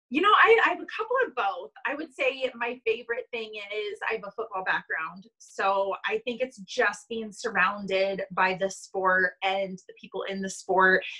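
In a plain, everyday voice, a woman with a fairly high pitch and ordinary pitch variation speaks at a moderate pace with hardly any pauses against a quiet background. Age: 20s. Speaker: sports team marketing staff; interview guest. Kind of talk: casual interview. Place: home room. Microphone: video call.

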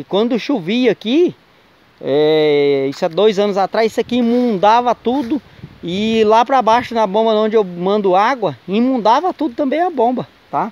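This man talks at a moderate pace in a high voice with very wide pitch swings. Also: dry sound with no echo. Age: 40s. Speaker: vlogger, water sector worker. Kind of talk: casual vlog narration. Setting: outdoors in a wooded area. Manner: animated. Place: forest. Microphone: phone near.

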